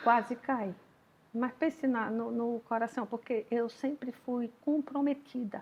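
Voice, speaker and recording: Her voice high, a woman speaks at a very slow pace with fairly even intonation. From Alagoas, Brazil. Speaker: caterer and business owner. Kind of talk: interview. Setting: at her home.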